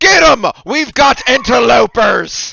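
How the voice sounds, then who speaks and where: A put-on character voice from a man, extremely high in pitch, at a fairly slow pace. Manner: shouting an alarm.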